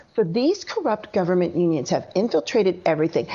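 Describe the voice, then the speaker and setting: A woman speaks with very wide pitch swings. Noticeable background noise runs underneath. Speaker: author and education activist, guest. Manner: fiery, indignant, emphatic.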